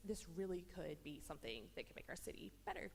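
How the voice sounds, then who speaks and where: A woman talks at a fairly quick pace in an American accent. There is audible room echo. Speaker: resident speaking at public comment. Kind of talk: public comment at council meeting. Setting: council chamber. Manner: fast.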